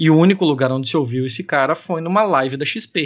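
In a plain, everyday voice, a man talks fairly quickly at a fairly high pitch with ordinary pitch variation. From Joinville, Santa Catarina, southern Brazil. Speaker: podcaster and data analyst. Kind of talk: casual chat. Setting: remote recording.

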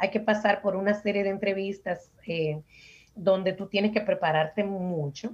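Somewhat breathy, a woman speaks at a fairly slow pace and a medium pitch. Her intonation stays fairly even. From Dominican Republic, Santo Domingo. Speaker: cloud technology architect. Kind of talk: interview.

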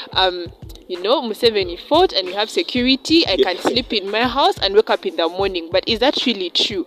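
Lively intonation and a fairly quick pace come through in a dry, close sound with no echo, though noticeable background noise is present. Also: woman, medium pitch for a woman. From Uganda. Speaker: medical student. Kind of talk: panel discussion.

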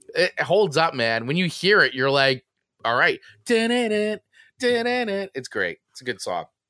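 A man with an American accent uses a raised, projected voice that is high-pitched, bright and sharp, at a very slow pace. His pitch swings very widely and his loudness swings a lot, in a dry, close sound with no echo. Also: very clean recording, silent background. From New Jersey. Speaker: podcast co-host. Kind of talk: casual chat. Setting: live stream.

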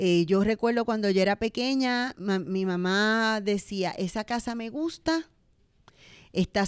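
In a very clean recording with a silent background and a dry, close sound with no echo, a woman with an unremarkable speaking voice talks at fairly high pitch and a fairly slow pace. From Puerto Rico, Bayamón. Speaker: business owner. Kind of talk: interview.

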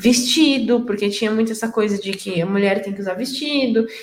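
A woman is speaking here. She goes at a moderate pace. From interior of São Paulo state, Brazil. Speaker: IT entrepreneur. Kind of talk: casual chat.

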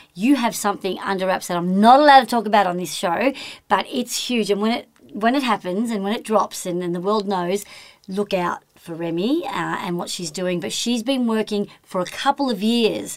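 A woman with a medium pitch talks at a moderate pace with ordinary pitch variation over noticeable background noise. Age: 50s. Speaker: podcast host and talent agent. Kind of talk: interview. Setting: studio.

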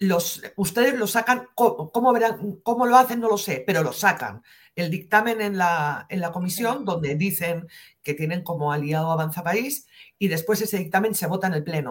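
A woman's somewhat breathy voice moves at a moderate pace with lively intonation. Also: medium pitch for a woman. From northern Spain, near the French border. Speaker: investigative journalist. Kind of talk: interview.

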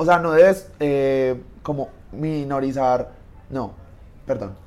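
His pitch is fairly high, with ordinary variation. This man has a normal speaking voice. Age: 20s. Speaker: engineering student. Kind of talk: casual chat.

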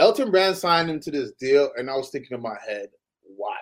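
Here a man talks at a moderate pace. His pitch sits fairly high. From Canada (Toronto). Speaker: former basketball player. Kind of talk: casual chat.

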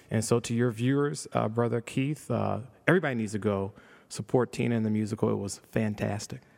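In an American accent, a man with a normal speaking voice talks at a fairly quick pace, a medium pitch and ordinary pitch variation. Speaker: state politician. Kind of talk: casual interview.

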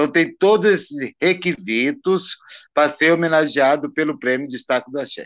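Against a quiet background, a man speaks at a moderate pace and fairly high pitch with ordinary pitch variation. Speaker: Candomblé priest. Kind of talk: casual interview on a live stream.

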